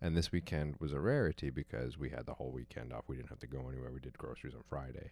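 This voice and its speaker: A man talks at a very fast pace with vocal fry. His loudness swings widely. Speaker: host's partner. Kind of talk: casual chat.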